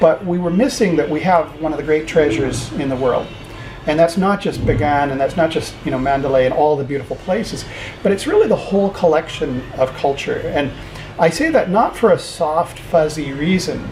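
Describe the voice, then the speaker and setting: Talking fairly quickly, a man with a fairly high pitch is heard over noticeable background noise. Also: ordinary pitch variation. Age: 60s. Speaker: university founder and rector. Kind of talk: interview. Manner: conversational, many fillers.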